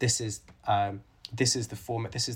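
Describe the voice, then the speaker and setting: On a very clean recording with a silent background, the voice is somewhat breathy and moves at a moderate pace. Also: man. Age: 30s. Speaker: author and conservation biologist. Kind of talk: interview.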